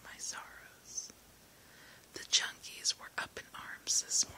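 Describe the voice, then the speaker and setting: Very slow whispering over noticeable background noise. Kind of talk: whispered book reading for relaxation, first-person narration. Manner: whispered.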